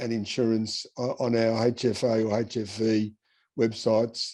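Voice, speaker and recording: This man has an Australian accent. The tone of his voice is dark and mellow. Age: 70s. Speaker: person with haemophilia sharing travel tips. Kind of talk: interview-style advice talk. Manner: casual, with hesitations and repeats.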